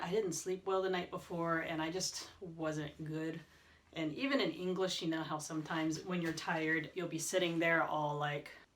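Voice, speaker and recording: Speaking at a moderate pace, a woman with a fairly low voice is heard amid audible room echo and noticeable background noise. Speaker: language learner vlogger; teacher. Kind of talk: casual vlog talk. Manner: casual, filler words.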